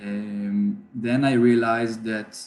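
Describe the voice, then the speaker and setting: The medium-pitched voice of a man, dark and mellow in tone. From Israel, Jerusalem. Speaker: musician. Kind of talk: webinar talk. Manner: halting, many fillers.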